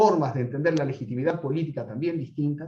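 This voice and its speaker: A man speaks in a somewhat breathy voice with a fairly high pitch. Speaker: political scientist lecturer. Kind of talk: lecture. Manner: fast.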